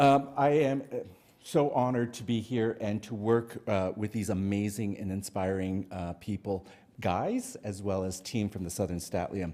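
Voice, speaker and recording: Moderate-paced speech from a man in a normal speaking voice, fairly low-pitched, with ordinary variation in pitch. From Canada, Cree First Nations. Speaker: public health worker, presenter. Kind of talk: conference presentation.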